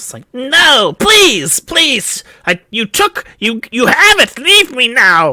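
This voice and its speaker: A man does a squeaky put-on character voice at an extremely high pitch, with very wide pitch swings, big swings in loudness, a very slow pace and hardly any pauses. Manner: pleading.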